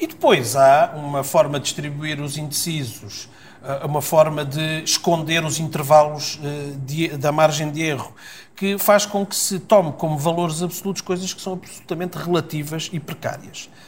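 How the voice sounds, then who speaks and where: A man's fairly high voice, an unremarkable speaking voice, at a moderate pace with big swings in loudness. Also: fairly even intonation. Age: 50s. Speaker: politician. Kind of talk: political interview.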